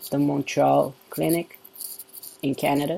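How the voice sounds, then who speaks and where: A man speaks at a fairly high pitch. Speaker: vlogger. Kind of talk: casual chat. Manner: hesitant, many fillers. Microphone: laptop camera and mic.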